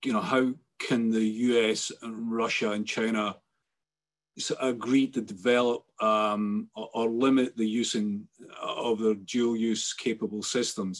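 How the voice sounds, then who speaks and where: The voice carries a strong Scottish accent and a monotone, flat intonation. It moves at a fairly slow pace. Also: man, medium pitch for a man. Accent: thick Scottish. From Scotland. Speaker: webinar moderator. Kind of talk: panel discussion moderation. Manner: halting. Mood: calm, thoughtful. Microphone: video call.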